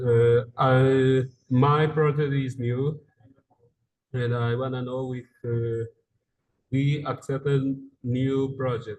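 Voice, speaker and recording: A man's medium-pitched, somewhat breathy voice with monotone, flat intonation. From Angola. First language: Portuguese. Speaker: grant applicant. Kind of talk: question in webinar Q&A. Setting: video call. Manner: halting, hesitant; quiet.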